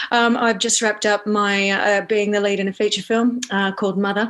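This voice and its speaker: Over noticeable background noise, a woman in an Australian accent speaks at a moderate pace and medium pitch, her intonation monotone and flat. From Australia, Northern Beaches of Sydney. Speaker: actor and Broadway performer. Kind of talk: casual interview chat. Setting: video call.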